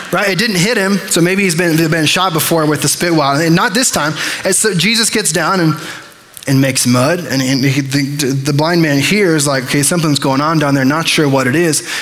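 Amid light background noise, a man with a fairly high pitch speaks at a fairly quick pace with ordinary pitch variation. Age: 20s. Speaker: pastor. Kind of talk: sermon. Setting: church. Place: church. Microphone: headset.

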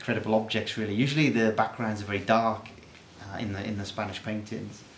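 A man at a fairly low pitch and moderate pace, monotone and flat, with audible room echo. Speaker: artist. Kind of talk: informal presentation of own artwork. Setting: art studio. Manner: hesitant, many fillers.

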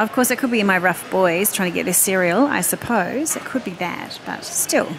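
With lively intonation and a fairly slow pace, a woman speaks in a dry sound with no echo while noticeable background noise runs underneath. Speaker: shopping vlogger. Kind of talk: casual vlog chat. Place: shop. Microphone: phone near.

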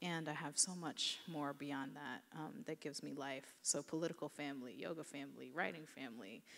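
Fairly quick and marked by vocal fry, a woman's very deep, low voice moves with ordinary pitch variation. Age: 30s. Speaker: novelist; author on a panel. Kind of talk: panel discussion. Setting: stage with audience. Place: hall. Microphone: handheld.

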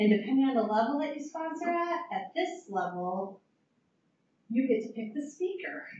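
The voice swings very widely in pitch. Audible room echo and light background noise are present. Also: woman, high pitch for a woman, moderate pace. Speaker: association chapter leader; presenter. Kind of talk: event introduction. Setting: stage with audience. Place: meeting room.

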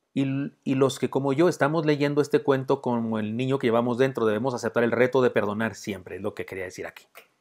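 Against a quiet background, a man with a medium pitch talks at a very fast pace in an animated tone, with ordinary pitch variation and hardly any pauses. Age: old. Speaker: pastor. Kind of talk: storytelling. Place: home room. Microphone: earbuds.

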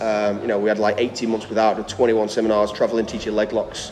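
A man talks fairly quickly as faint music plays behind him. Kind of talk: interview answer. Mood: relaxed, reflective. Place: gym.

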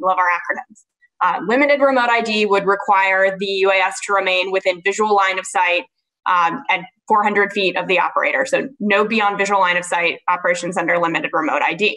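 A woman with a bright, sharp tone speaks at a moderate pace with ordinary pitch variation against a quiet background. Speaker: panelist. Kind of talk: panel discussion answer. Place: home room. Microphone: webcam.

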